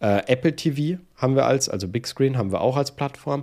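With a dark, mellow tone and lively intonation, a man talks over a silent background on a very clean recording. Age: 30s. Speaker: iOS developer and YouTuber. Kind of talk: casual interview chat.

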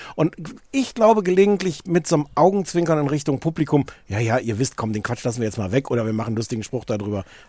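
Fairly high in pitch with a dark, mellow tone, a man talks at a very fast pace. His pitch swings very widely. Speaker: podcast co-host. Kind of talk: casual chat. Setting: outdoors.

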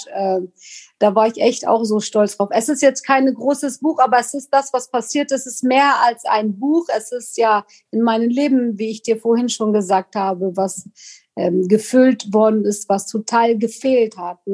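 At a fairly slow pace, a woman talks in a fairly high pitch with ordinary pitch variation, the sound dry and close with no echo. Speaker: podcast guest, immigrant story. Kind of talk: casual interview.

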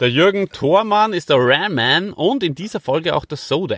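A man at a fairly slow pace with lively intonation, in a very clean recording with a silent background and a dry, close sound with no echo. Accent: Austrian. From Austria. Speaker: podcast host. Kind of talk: casual chat.

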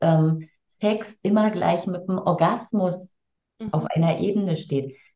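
A somewhat breathy, medium-pitched woman's voice at a very slow pace with lively intonation. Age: 50s. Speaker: tantra teacher and coach. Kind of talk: casual interview.

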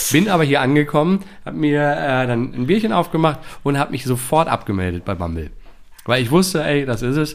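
Lively in intonation and fairly high in pitch, a man talks at a fairly quick pace in an ordinary speaking voice. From Dortmund, Ruhr area, Germany. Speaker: actor. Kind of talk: casual interview. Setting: apartment, sharing one microphone with partner.

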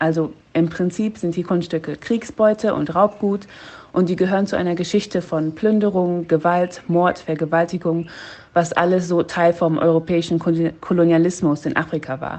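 A woman talks in an ordinary speaking voice, pitched fairly low. She keeps a moderate pace and a fairly even intonation. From half German, half Ugandan. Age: 20s. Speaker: PhD student in African history. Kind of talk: recorded voice message. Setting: in Uganda on home leave.

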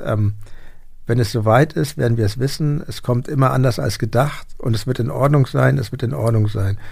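A somewhat breathy man at a fairly slow pace on a very clean recording with a silent background. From Hamburg. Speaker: podcast host and musician. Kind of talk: interview. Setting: studio.

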